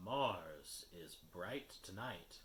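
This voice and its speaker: Using a put-on character voice, a man drops to a very deep, low pitch. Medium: read story. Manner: sorrowful, slow, cryptic.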